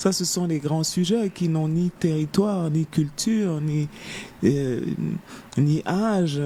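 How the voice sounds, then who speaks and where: Her pitch very deep and low, a woman speaks at a fairly slow pace in a dark, mellow, somewhat breathy tone with ordinary pitch variation. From Africa. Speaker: novelist. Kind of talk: interview. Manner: halting, many hesitations.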